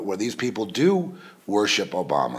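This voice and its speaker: A man's pitch swings very widely. Vocal fry runs through his speech. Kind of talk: political and religious commentary podcast. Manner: casual, rambling, hesitant.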